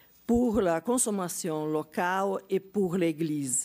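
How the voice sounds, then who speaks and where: Against a silent background in a very clean recording, a woman with a Portuguese accent and fairly low pitch speaks at a very slow pace. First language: Portuguese (speaking French). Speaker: geography professor. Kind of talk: conference talk. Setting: conference with audience. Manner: halting, many hesitations.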